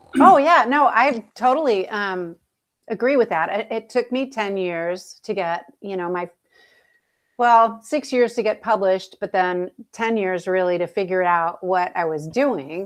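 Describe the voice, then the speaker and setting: On a very clean recording with a silent background, a woman speaks in a normal speaking voice at medium pitch, fairly slow pace, and with lively intonation. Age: 60s. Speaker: author. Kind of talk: casual live panel chat. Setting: live video stream.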